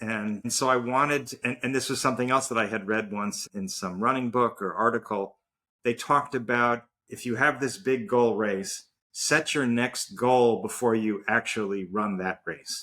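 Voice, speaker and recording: This man's voice has a medium pitch and a bright, sharp tone. The recording is very clean, with a silent background. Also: ordinary pitch variation, moderate pace. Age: 60s. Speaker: marathon runner and startup executive. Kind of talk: interview conversation. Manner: halting, repeats words.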